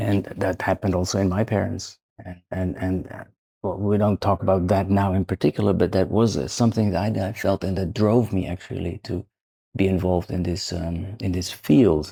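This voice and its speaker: On a very clean recording with a silent background, a man speaks fairly quickly in a very deep, low pitch, his tone dark and mellow and his intonation fairly even. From Netherlands. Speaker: psychiatrist and professor. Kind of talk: interview. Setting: in person in Sarajevo. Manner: halting, many fillers and repetitions.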